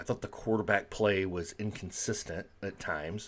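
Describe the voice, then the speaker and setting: A quiet voice at a moderate pace with fairly even intonation. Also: man, very clean recording, silent background. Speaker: sports vlogger. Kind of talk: casual sports commentary. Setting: at home. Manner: quiet, low volume; hesitant, many fillers.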